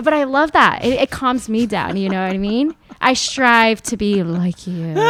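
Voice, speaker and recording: A woman with a fairly high pitch talks at a moderate pace in an animated tone with lively intonation. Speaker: food entrepreneur and cookbook author. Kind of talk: casual interview chat.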